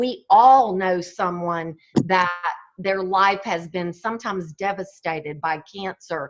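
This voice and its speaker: A woman speaks at a fairly slow pace with a Southern US accent and ordinary pitch variation. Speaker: fitness and wellness speaker. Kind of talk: motivational talk.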